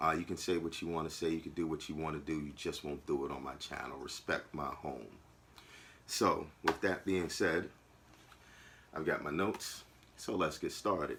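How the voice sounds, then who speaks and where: With an American accent, a man speaks at a moderate pace in a very deep, low pitch with vocal fry. His intonation is fairly even, broken by long, frequent pauses. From New York, Long Island. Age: 40s. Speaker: YouTuber. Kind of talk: personal vlog monologue. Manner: casual, with fillers.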